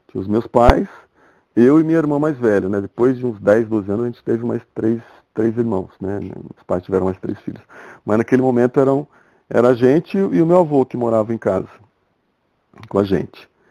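This man has a medium pitch and a dark, mellow tone, moving at a moderate pace with long, frequent pauses, in a dry, close recording with no echo. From Brazil, interior of São Paulo state (Ribeirão Preto area). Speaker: architect and furniture designer. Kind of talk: casual interview. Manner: halting, with frequent repetitions.

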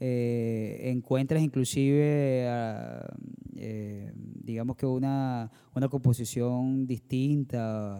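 A man's very slow, medium-pitched voice, dark and mellow in tone, with monotone, flat intonation. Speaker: band vocalist and producer, podcast host. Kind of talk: casual chat.

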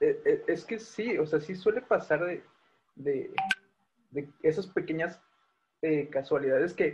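With ordinary pitch variation, a man's speech moves at a fairly slow pace. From Mexico City, Tláhuac. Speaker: podcast co-host. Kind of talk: casual chat.

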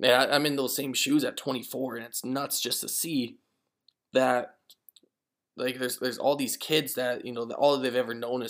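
A man talks at a moderate pace. His pitch is medium. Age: 20s. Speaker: podcast host. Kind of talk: casual monologue. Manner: halting, many repetitions and fillers.

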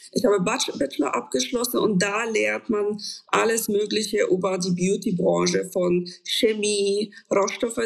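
A woman talks with a Polish accent. Her pace is fairly slow. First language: Polish (speaking German). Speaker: cosmetics developer and founder. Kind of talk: interview. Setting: video call.

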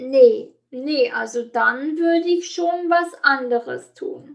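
A woman at a very slow pace. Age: 30s. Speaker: life coach. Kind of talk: interview. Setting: online call.

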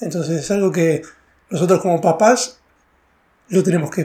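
In a Rioplatense accent, a man speaks with a high pitch and a dark, mellow tone. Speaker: podcast host and stand-up comedian. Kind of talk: casual interview chat.

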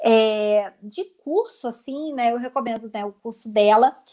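Fairly high female voice with ordinary rises and falls in pitch. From Rio de Janeiro, Brazil. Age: 30s. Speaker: lawyer and organization content creator. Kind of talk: casual interview on a livestream. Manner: talkative, long-winded.

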